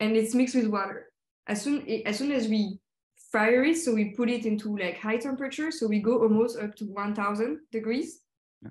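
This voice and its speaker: In a room with audible echo, a woman with a French accent and a somewhat breathy voice speaks at a moderate pace, with a fairly high pitch and ordinary pitch variation. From Paris area, France; France. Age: 20s. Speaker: designer. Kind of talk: presentation. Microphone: video call.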